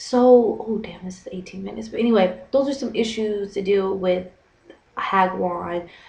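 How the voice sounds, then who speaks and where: Noticeable background noise and audible room echo surround a woman with an animated tone, medium pitch, ordinary pitch variation and big swings in loudness. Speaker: vlogger and English teacher. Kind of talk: casual vlog. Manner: fast.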